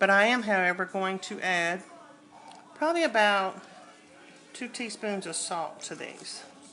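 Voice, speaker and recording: A woman speaks in a bright, sharp tone with a Southern US accent and ordinary pitch variation. Her pace is fairly slow, with long, frequent pauses. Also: medium pitch for a woman. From US South. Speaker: cooking channel host. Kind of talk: cooking tutorial. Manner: casual, conversational.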